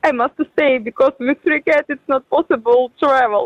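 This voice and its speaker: A woman with a Ukrainian accent speaks at a high pitch and moderate pace with ordinary pitch variation, the sound dry and close with no echo. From Ukraine. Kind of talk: phone interview. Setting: video call.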